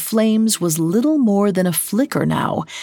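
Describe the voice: Straightforward reading aloud, nothing more.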